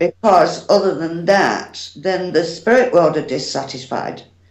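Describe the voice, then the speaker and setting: With a British accent, a woman talks at a fairly slow pace. Her voice is fairly low in pitch. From United Kingdom. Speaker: psychic medium. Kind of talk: interview answer.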